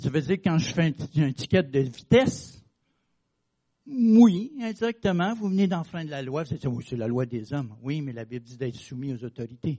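Somewhat breathy and fairly high-pitched, a man speaks at a moderate pace with very wide pitch swings and big swings in loudness. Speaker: preacher. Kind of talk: sermon. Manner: conversational, hesitant with fillers.

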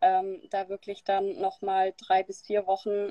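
A woman with an unremarkable speaking voice talks at medium pitch and a fairly slow pace. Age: 20s. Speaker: keto dieter sharing her experience. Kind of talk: interview on a live stream. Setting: live video stream.

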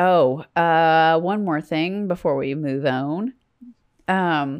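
A woman with a fairly low pitch talks using ordinary pitch variation. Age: 40s. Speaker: podcast co-host. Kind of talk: casual chat. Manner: animated.

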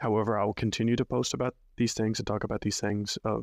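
A man with an American accent speaks at a fairly low pitch. The sound is dry and close with no echo, on a very clean recording with a silent background. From Arkansas. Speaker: podcast host, Spanish language mentor. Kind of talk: solo podcast monologue, tutorial. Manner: casual, with frequent fillers.

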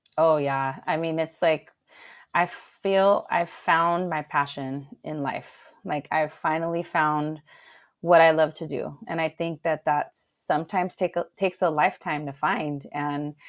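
Fairly slow, fairly even delivery in a Southern California accent. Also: woman, very deep, low pitch for a woman. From Los Angeles, San Gabriel Valley (Alhambra). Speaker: DJ. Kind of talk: casual chat. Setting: livestream.

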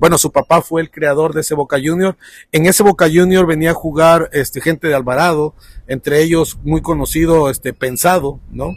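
A man with a normal speaking voice and fairly high pitch talks at a moderate pace with fairly even intonation in a dry, close sound with no echo. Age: 40s. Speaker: economist and lecturer. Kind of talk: casual interview.

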